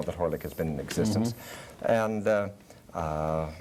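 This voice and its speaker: A man with a plain, everyday voice talks at a fairly quick pace and fairly low pitch, with ordinary pitch variation. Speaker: high school drama teacher. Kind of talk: TV interview answer.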